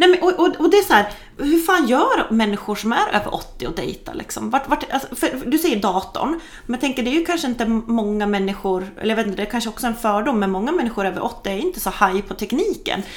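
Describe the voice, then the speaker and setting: Over noticeable background noise, a woman talks at a very fast pace in a fairly high pitch that swings very widely. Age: 40s. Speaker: podcast host. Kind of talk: interview. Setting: at a kitchen table in the guest's home.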